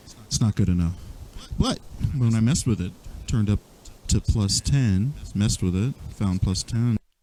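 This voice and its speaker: In a dry, close sound with no echo, a man with a dark, mellow, fairly low voice speaks with ordinary pitch variation and long, frequent pauses. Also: moderate pace. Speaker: music producer. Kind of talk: software tutorial walkthrough. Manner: casual, unplanned, occasional stutter.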